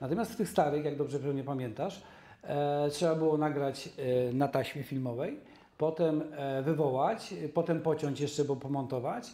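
Heard with audible room echo, a man with a fairly high voice and a dark, mellow tone speaks at a moderate pace with ordinary pitch variation. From Częstochowa, southern Poland; southern Poland. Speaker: documentary filmmaker. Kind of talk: casual interview. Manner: halting. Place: studio. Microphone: lapel.

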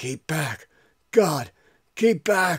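A man puts on a character voice that is raspy. The pitch sits fairly high for a man. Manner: menacing, commanding.

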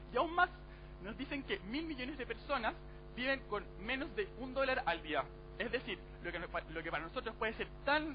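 A man talks at a moderate pace, pausing long and often, with noticeable noise in the background. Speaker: university debater. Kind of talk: formal debate speech. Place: hall. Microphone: headset.

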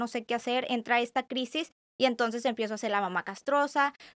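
A woman's high, very fast voice with ordinary pitch variation, dry and close with no echo, in a very clean recording with a silent background. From Tijuana, Mexico. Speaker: psychologist. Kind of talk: casual interview.

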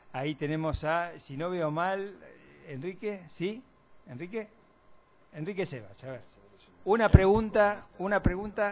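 Light background noise sits behind a man with a high pitch and ordinary pitch variation. He talks at a fairly slow pace, leaving long, frequent pauses. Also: big swings in loudness. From Argentina. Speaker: moderator. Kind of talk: event moderation. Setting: auditorium with audience. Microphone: podium.

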